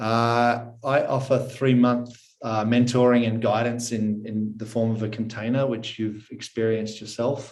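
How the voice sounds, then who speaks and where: A man with an Australian accent speaks at a fairly slow pace in a medium pitch, his intonation flat and monotone, with hardly any pauses. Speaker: personal development mentor. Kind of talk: podcast interview.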